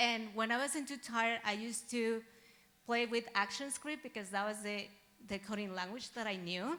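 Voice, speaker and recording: Speaking with a Spanish accent at a moderate pace, a woman has a bright, sharp tone, fairly high pitch and ordinary pitch variation. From Mexico. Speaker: software engineering graduate. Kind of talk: graduation presentation.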